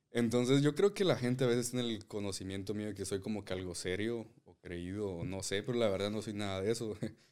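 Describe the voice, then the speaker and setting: A man talks very fast with hardly any pauses, his pitch fairly low. His intonation stays fairly even while his loudness swings widely. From Guatemala, Zacapa. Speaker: podcast co-host. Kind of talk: casual chat.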